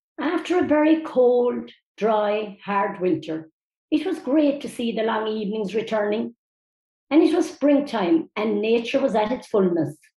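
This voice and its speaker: Somewhat breathy and dark, mellow in tone, a woman's fairly high voice moves through very wide pitch swings in a Cork accent. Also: fairly slow pace. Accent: Cork Irish. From Mitchelstown, County Cork, Ireland. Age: 70s. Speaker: older local resident. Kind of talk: reading aloud a prepared essay.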